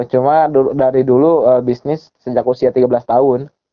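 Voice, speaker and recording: Flat, monotone intonation at a fairly quick pace. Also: man. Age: 20s. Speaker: network marketing recruiter. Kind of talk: sales pitch. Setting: phone call.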